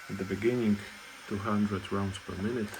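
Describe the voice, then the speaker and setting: Fairly low male voice with fairly even intonation over noticeable background noise. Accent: non-native. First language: not English. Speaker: machine builder. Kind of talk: workshop demonstration narration.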